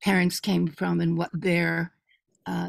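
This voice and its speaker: The sound is dry and close, with no echo. A woman with an American accent speaks at a fairly slow pace. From United States. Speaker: meeting participant. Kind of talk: online meeting discussion. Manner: hesitant, many fillers.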